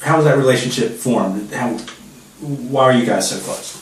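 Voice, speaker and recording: With an American accent, a man speaks at a fairly quick pace and medium pitch, with audible room echo and noticeable background noise. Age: 40s. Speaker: interviewer, son of guest. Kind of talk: family interview.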